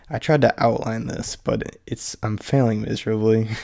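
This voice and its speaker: Fairly even intonation in a man's fairly low voice. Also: quiet background. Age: young. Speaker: channel creator. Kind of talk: casual talk to camera. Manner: rambling, hushed. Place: home room.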